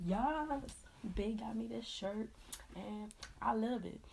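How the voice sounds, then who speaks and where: A woman speaks with audible room echo. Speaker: beauty vlogger. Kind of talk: makeup tutorial. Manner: casual, hesitant with fillers.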